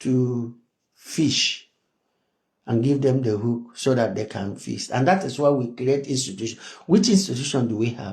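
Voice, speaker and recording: A man speaks at a moderate pace in a medium pitch. His voice is somewhat breathy, with ordinary pitch variation. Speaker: activist. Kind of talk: political monologue.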